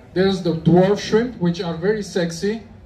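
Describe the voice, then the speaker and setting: Audible room echo surrounds a man speaking at a high pitch. His pace is moderate and his intonation fairly even. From Germany. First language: German. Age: 50s. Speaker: shrimp expert speaker. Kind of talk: expo talk to audience. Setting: stage with audience at expo. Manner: casual, halting non-native English.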